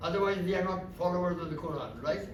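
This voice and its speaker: Audible room echo surrounds this man's voice. There is also noticeable background noise. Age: 90s. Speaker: religious speaker. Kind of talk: talk at a religious gathering. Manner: conversational, checks with listeners.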